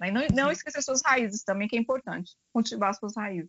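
The speaker is a woman. Her voice rises and falls in an ordinary way. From Brazil. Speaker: finance executive. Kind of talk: interview. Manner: hesitant, many fillers.

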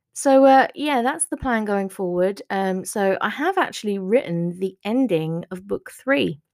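Here is a woman with an ordinary speaking voice and lively intonation. She goes at a fairly slow pace with hardly any pauses. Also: medium pitch for a woman. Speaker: author podcaster. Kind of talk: solo podcast update chat. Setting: home recording. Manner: chatty, casual, warm.

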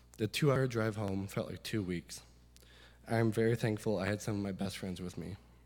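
He talks fairly quickly with ordinary pitch variation. The man has an unremarkable speaking voice. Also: fairly low pitch for a man. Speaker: recent graduate. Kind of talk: testimony.

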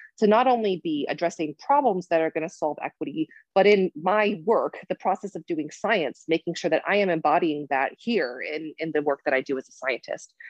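A woman's fairly low voice with an American accent, a plain, everyday voice, fairly quick with hardly any pauses and lively intonation. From Michigan, US Midwest. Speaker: nursing professor and psychiatric nurse. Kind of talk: interview.

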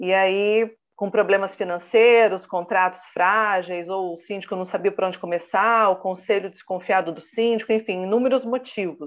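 Using an ordinary speaking voice, a woman of medium pitch talks at a moderate pace with fairly even intonation and hardly any pauses. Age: 30s. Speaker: professional condominium manager and consultant. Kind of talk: interview.

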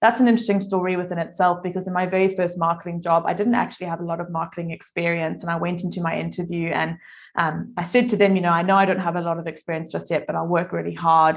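Her pitch is fairly low for a woman, and her intonation is fairly even. She speaks at a very fast pace. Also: hardly any pauses. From South Africa. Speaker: content marketing agency owner. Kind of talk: casual interview.

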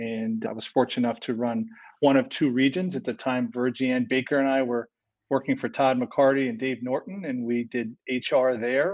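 This man has an ordinary speaking voice at medium pitch, talking at a moderate pace with an American accent. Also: fairly even intonation. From upstate New York, Rochester. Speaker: HR executive. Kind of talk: interview.

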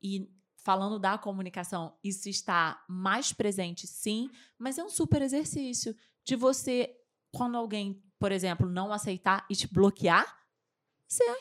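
A woman with an unremarkable speaking voice talks at a fairly slow pace, with a medium pitch and ordinary pitch variation. The recording is very clean, with a silent background. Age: 40s. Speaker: communication and public speaking coach. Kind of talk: interview.

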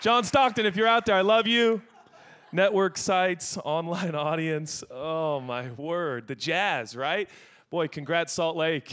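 On a very clean recording with a silent background, a high-pitched man with an American accent sounds animated, with lively intonation. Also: fairly slow pace. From Seattle, US Pacific Northwest. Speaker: guest pastor. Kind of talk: sermon. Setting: church with live audience.

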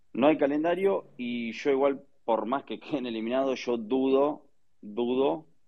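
The speaker is a man with medium pitch and ordinary pitch variation. He goes at a fairly slow pace. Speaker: football news panelist. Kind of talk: casual chat.

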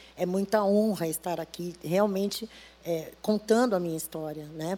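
A woman speaks at a medium pitch in a dark, mellow tone. Her intonation stays fairly even and her pace is moderate. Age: 60s. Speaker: church deaconess and cook. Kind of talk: testimony.

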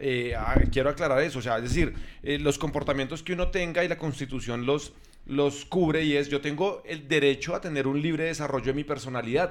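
Noticeable background noise accompanies a man speaking at a fairly quick pace. His pitch is fairly high and his intonation fairly even. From Colombia. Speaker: podcast host. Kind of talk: casual chat.

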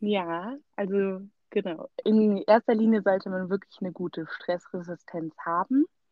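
This woman has an unremarkable speaking voice at a medium pitch. She goes at a fairly slow pace with ordinary pitch variation. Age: 20s. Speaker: recent graduate, student. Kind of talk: interview.

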